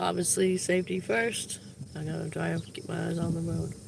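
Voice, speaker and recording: Noticeable background noise surrounds speech delivered at a moderate pace. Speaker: vlogger live-streaming while driving. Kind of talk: casual live stream chat. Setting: in a car, windows down. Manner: loud, shouting over wind.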